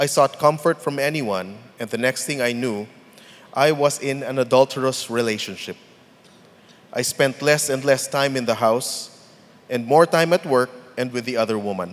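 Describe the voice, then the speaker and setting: At a moderate pace, a man speaks in an unremarkable speaking voice, his medium pitch showing ordinary variation. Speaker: church member giving testimony. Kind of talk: testimony.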